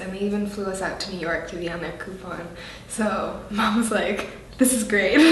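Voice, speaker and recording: A woman speaks at a fairly quick pace with ordinary pitch variation, amid noticeable background noise and audible room echo. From Canada. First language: French. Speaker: actress. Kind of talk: interview. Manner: animated.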